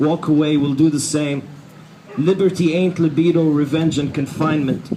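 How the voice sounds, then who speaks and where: A man talks at a moderate pace in a flat monotone. Noticeable background noise can be heard. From Egypt, raised in Dubai. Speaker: hip hop artist. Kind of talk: spoken word poetry performance. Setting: outdoors, rally. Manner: rhythmic, rhyming.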